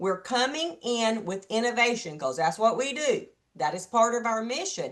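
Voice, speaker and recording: A woman's fairly high, animated voice with very wide pitch swings. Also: moderate pace. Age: 60s. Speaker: network marketing leader and panelist. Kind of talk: panel discussion.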